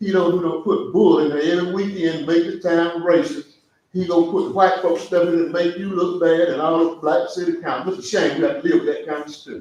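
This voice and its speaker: Speaking at a fairly quick pace, a man uses a high-pitched voice. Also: ordinary pitch variation. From US South, southwest Georgia. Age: 70s. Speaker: public commenter at city meeting, veteran. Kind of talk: public comment at council meeting. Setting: city council work session. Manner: impassioned.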